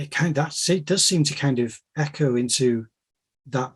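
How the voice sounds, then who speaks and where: The man's voice is somewhat breathy. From Wales, raised by Mancunian parents. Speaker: podcast host. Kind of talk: casual interview conversation.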